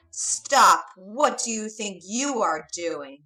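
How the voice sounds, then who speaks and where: A put-on character voice growls loudly at a very slow pace. Its pitch swings very widely. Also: woman, fairly high pitch for a woman. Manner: angry, shouting a challenge.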